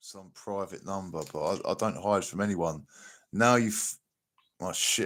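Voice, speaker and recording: Speaking in a South London accent, a man talks at a fairly slow pace with long, frequent pauses and big swings in loudness. The recording is very clean, with a silent background. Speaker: livestream reaction host. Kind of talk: casual livestream commentary. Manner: animated.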